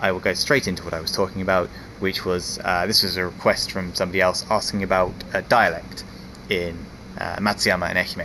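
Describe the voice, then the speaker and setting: The voice moves at a fairly quick pace with fairly even intonation. Noticeable background noise is present. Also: man, very deep, low pitch for a man. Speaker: foreign resident in Japan vlogger. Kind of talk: casual talk to camera. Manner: rambling, hesitant.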